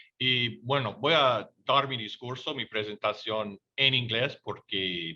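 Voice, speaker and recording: A man with an English accent speaks at a fairly slow pace with ordinary pitch variation. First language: English (speaking Spanish). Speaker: independent researcher. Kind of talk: conference presentation. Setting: webinar. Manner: halting.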